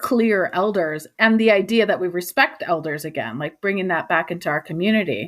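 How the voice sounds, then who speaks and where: A woman uses an ordinary speaking voice, keeping a medium pitch and a moderate pace. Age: 40s. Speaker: podcast host. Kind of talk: interview conversation.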